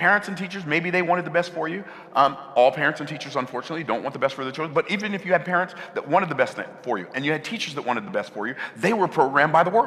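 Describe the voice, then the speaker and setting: Talking at a very fast pace with ordinary pitch variation, a high-pitched man is heard over noticeable background noise. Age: 60s. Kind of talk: sermon.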